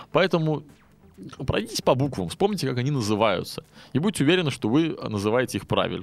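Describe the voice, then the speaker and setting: A man speaks at a fairly high pitch with very wide pitch swings. His voice has vocal fry. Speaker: podcast host, English teacher. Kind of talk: educational monologue; storytelling (fairy tale). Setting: studio.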